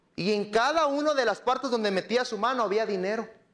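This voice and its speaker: This man has a high pitch and keeps a moderate pace. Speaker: lay preacher. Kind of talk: sermon. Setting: church.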